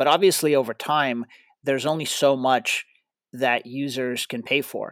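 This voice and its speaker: A man speaks with a Russian accent and fairly even intonation. The sound is dry and close with no echo, on a very clean recording with a silent background. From Ukraine, moved to US at 12. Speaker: tech startup founder and CEO. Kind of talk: interview. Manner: halting, with frequent repetitions.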